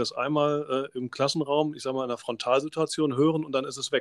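On a very clean recording with a silent background and a dry, close sound with no echo, a man speaks very fast in a fairly high, monotone, flat voice. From Germany, Rhineland (Oberdollendorf near Bonn). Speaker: teacher and podcast host. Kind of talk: podcast interview.

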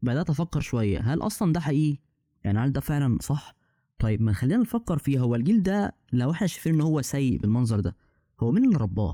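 A man talks at a very fast pace in a fairly high pitch with very wide pitch swings and a dark, mellow tone. The sound is dry and close with no echo, and the recording is very clean with a silent background. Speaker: podcast host. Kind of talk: casual chat.

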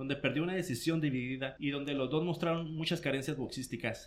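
This man's voice is fairly high-pitched and somewhat breathy, with fairly even intonation. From Mexico, Mexicali (Baja California). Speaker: combat sports commentator. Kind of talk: casual chat. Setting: studio.

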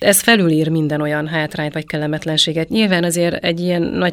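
A woman with a fairly low pitch talks at a very fast pace with fairly even intonation. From Transylvania, Romania. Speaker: travel group participant. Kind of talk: casual chat.

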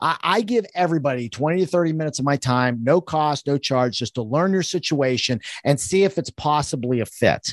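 A man speaks in an ordinary speaking voice, fairly high-pitched, with lively intonation and a fairly quick pace. The sound is dry and close with no echo, and there are hardly any pauses. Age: 50s. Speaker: financial advisor. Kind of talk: interview. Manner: casual, conversational.

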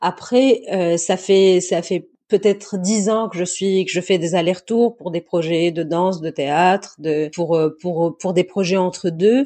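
Speaking very slowly with a slight Tunisian accent, a woman keeps a medium pitch and ordinary pitch variation. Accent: slight Tunisian accent kept in French. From southern Tunisia, Zarzis. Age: young. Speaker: actress and dancer. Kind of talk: interview. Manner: halting, repeats words.

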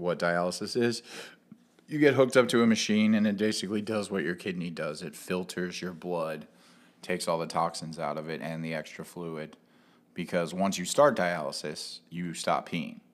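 A man's very deep, low voice with an American accent, on a very clean recording with a silent background. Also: ordinary pitch variation, moderate pace. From Cincinnati, Ohio. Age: 30s. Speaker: punk musician and show booker. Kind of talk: casual chat.

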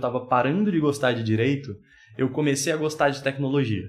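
Somewhat breathy, a man talks at a moderate pace. His fairly high pitch has ordinary variation. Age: 20s. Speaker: podcast guest. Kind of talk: casual chat.

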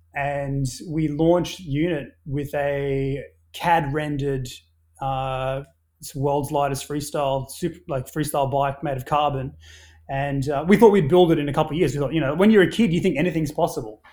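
On a very clean recording with a silent background, a man speaks at a moderate pace. His fairly high voice has a dark, mellow tone and fairly even intonation. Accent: Australian. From Papua New Guinea and Australia. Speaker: brand founder and entrepreneur. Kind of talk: casual interview conversation. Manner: hesitant, with many filler words.

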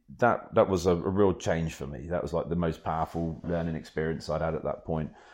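Against a quiet background, someone speaks fairly quickly with a British accent. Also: man. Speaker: kitesurfing magazine editor and waterman, cancer patient. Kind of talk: casual interview chat.

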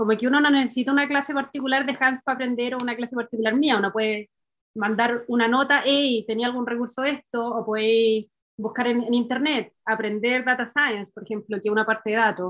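A woman talks fairly quickly in a high voice with fairly even intonation. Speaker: engineer, doctoral student. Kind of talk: casual chat.

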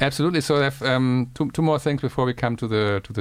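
A man with a German accent and ordinary pitch variation. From Germany. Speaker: podcast host. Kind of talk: interview chat.

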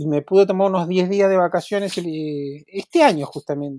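Man at a fairly slow pace, high pitch, ordinary pitch variation, dry, close sound with no echo. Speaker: photographer and photography teacher. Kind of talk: interview conversation.

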